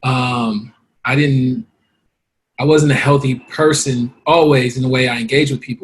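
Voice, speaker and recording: A somewhat breathy voice with an American accent. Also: man, medium pitch for a man. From Los Angeles, South Central. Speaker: guest. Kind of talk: interview testimony. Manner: halting.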